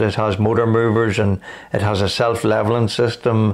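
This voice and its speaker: The speaker talks at a moderate pace in a Northern Irish accent. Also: man. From Northern Ireland, County Armagh. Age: 60s. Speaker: cancer patient. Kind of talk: interview.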